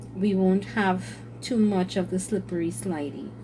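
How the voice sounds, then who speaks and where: A woman's voice with ordinary pitch variation comes through noticeable background noise and audible room echo. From Trinidad and Tobago. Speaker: craft content creator. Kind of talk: casual chat. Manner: hesitant with fillers.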